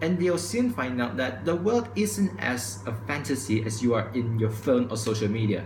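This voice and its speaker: A man at a medium pitch with ordinary pitch variation and hardly any pauses, against noticeable background noise and audible room echo. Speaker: vlogger. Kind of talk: opinion vlog monologue. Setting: recorded to camera at home. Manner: fast.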